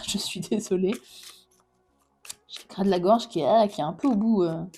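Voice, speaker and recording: A woman's voice at a medium pitch. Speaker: tarot reader. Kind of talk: tarot reading. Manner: halting.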